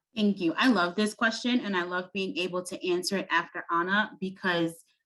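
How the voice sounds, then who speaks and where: With a Brooklyn accent, a woman speaks at a fairly low pitch. She keeps a moderate pace. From US Northeast, Brooklyn, New York. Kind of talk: panel discussion. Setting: video call, at home.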